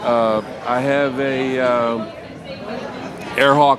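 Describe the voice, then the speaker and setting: Against crowd noise in the background and audible room echo, a man of medium pitch talks with an American accent. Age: 60s. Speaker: military veteran and trike rider. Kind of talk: casual interview.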